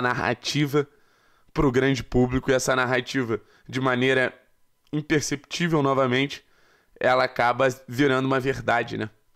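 Over a quiet background, a man talks at a moderate pace and medium pitch. His intonation is monotone and flat. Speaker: sports journalist and YouTube commentator. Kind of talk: angry rant / opinion commentary. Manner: indignant, emphatic, pleading; repetitive, insistent, accusatory. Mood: critical, indignant. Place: home room. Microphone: studio mic.

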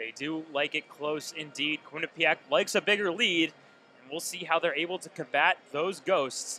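A man's high-pitched voice has a bright, sharp tone in a dry sound with no echo. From Vermont. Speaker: play-by-play announcer. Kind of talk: live sports commentary. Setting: broadcast booth at arena. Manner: fast, excited play-by-play delivery calling each shot and save as it happens. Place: stadium.

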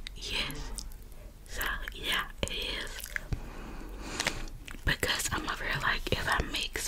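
A woman whispers in a relaxed tone. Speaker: ASMR creator. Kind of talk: ASMR close-whisper roleplay talking to the viewer. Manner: soft, relaxed, casual. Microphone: earbuds.

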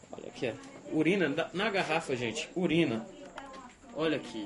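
This man's voice sits fairly high in pitch. He talks at a moderate pace over light background noise. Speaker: TV reporter. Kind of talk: TV news field report. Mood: indignant, appalled. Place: home room.

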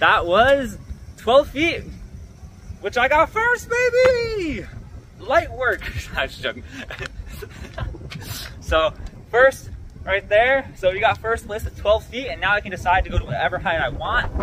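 A man talks at a fairly slow pace with long, frequent pauses. Noticeable background noise is present. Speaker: student athlete vlogger. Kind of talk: casual vlog chat. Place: street. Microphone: phone near.

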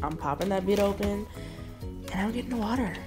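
A woman speaks over clear music in the background. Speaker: vlogger. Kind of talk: casual vlog chat. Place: home room. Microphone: phone near.

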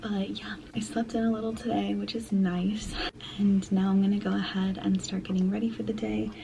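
Vocal fry and a dark, mellow tone, with little pitch movement, a moderate pace, and faint background noise. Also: woman, medium pitch for a woman.

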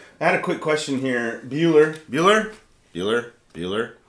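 The intonation is lively. Audible room echo is present. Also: man. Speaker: worship leader and channel host; channel host. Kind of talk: casual live stream chat about music gear. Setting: live stream studio. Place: studio.

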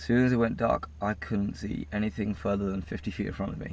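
A man speaks in a normal speaking voice at a fairly low pitch and moderate pace. His pitch varies in an ordinary way, and the sound is dry with no echo. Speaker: road-trip vlogger. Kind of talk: casual vlog chat. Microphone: camera far.

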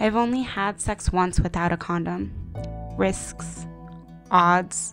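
A woman with an American accent at a very slow pace, with music in the background. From United States (Japanese American). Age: young. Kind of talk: personal digital story voiceover. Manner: reflective, quiet.

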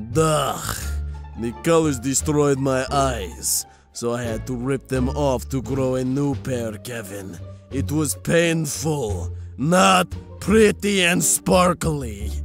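Clear music sits behind a man's put-on character voice at medium pitch. It moves at a very slow pace with very wide pitch swings. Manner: grumpy, exasperated, sneering.

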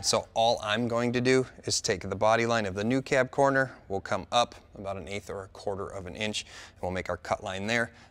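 Music plays in the background as a man speaks. His pace is moderate and his pitch variation ordinary. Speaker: auto restoration show host. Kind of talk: tutorial. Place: garage.

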